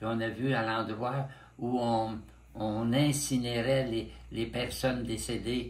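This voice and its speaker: In a room with audible echo, a man talks at a very slow pace with a medium pitch, a somewhat breathy sound and monotone, flat intonation. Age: 90s. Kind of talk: interview. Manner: halting.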